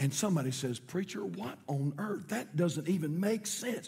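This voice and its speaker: With a North Carolina accent, a man speaks in a dark, mellow tone. His pitch is high and his intonation lively. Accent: Southern US (North Carolina). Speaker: pastor. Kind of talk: sermon. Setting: church.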